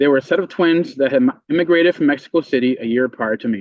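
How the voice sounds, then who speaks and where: Talking at a very fast pace, a man with a fairly high pitch speaks in a Spanish accent. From Puerto Rico, then Meriden, Connecticut. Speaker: member of the public testifying. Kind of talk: public hearing testimony. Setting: legislative committee hearing.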